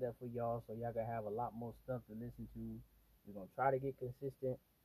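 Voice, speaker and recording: A man with an American accent speaks at a medium pitch in a relaxed tone. His voice is dark, mellow and somewhat breathy. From Miami, Florida. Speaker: podcast host. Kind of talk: casual solo monologue. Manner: relaxed, filler-heavy.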